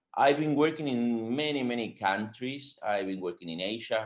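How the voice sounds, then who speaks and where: A man talks with a Spanish accent at a moderate pace. His pitch variation is ordinary. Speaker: agile consultant and webinar speaker. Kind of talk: webinar presentation.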